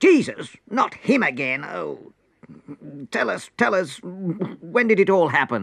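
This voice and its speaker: At a fairly slow pace and a middle pitch, the speaker performs a put-on character voice. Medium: read story. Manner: prim, affected.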